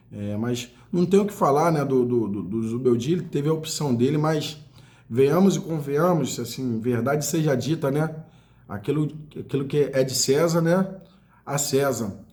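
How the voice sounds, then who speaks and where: A man speaks at a moderate pace in a dark, mellow, somewhat breathy voice, fairly high in pitch with ordinary variation. Room echo is audible. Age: 40s. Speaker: football fan commentator. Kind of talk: casual monologue. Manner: animated.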